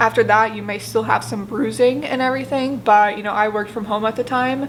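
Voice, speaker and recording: A woman's fairly high voice at a fairly quick pace over noticeable background noise. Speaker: YouTube vlogger. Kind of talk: casual vlog Q&A. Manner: casual, filler-heavy.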